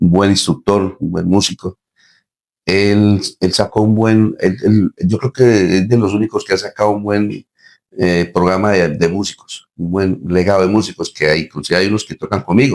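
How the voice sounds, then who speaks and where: A man with a plain, everyday voice talks at a moderate pace with fairly even intonation, in a dry, close sound with no echo. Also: fairly low pitch for a man. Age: 60s. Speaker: band musician and director. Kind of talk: interview.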